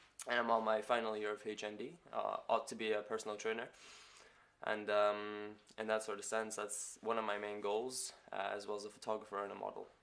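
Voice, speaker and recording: A man with a northeast Scottish accent speaks at a fairly quick pace. His pitch is fairly low and his intonation is monotone and flat. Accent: Scottish (north-east). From Scotland. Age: 20s. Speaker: student, model and photographer. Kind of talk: interview. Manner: hesitant, with many fillers.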